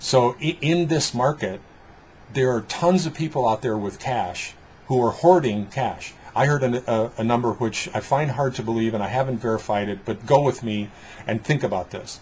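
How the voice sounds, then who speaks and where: Moderately paced speech from a man with an American accent, somewhat breathy, with ordinary pitch variation. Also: medium pitch for a man. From Detroit, US Midwest. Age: 60s. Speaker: business coach and trainer. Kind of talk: interview conversation. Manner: halting, with repetitions and fillers.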